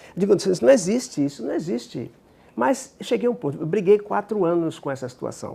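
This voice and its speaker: Talking at a fairly quick pace, a man with a high pitch and a dark, mellow tone swings his pitch very widely. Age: 70s. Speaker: psychologist and regression therapist. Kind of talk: interview.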